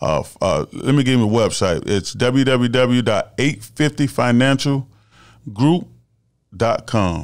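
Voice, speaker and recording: A man with a normal speaking voice and an American accent, medium in pitch, at a fairly slow pace with ordinary pitch variation, in a very clean recording with a silent background. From Melbourne, Florida. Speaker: former college football player and actor. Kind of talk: casual interview.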